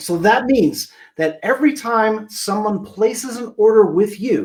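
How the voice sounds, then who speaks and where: Here a man speaks in an animated tone with a high pitch. His intonation is lively and his pace fairly slow. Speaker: marketing consultant. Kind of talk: webinar presentation.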